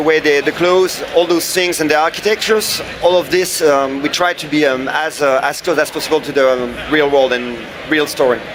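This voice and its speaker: A man speaks with a French accent at a fairly high pitch. His pitch varies in an ordinary way, and there is noticeable background noise. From France. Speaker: game developer. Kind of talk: interview. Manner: halting.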